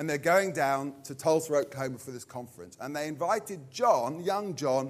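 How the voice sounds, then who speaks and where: The speaker uses lively intonation and a fairly quick pace with a southern English accent. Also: man. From southern England, Purley, Surrey. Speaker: pastor. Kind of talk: sermon.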